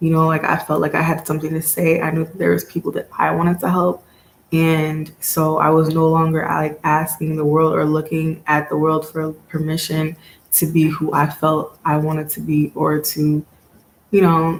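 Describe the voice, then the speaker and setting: A woman talks at a moderate pace with monotone, flat intonation. Noticeable background noise runs underneath. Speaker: tarot reader and motivational vlogger. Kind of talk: casual motivational monologue. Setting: home video recording. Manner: halting, long pauses; casual, filler-heavy.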